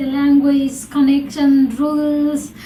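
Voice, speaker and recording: A woman with a non-native accent and a high pitch speaks at a very slow pace over noticeable background noise. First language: not English. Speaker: podcast host. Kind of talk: casual interview chat.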